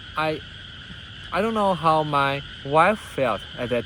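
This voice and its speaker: Speaking very slowly with a non-native accent, a man uses a fairly high pitch and lively intonation over noticeable background noise. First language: not English. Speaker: vlogger and businessman. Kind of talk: personal monologue. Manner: halting, with many fillers and restarts.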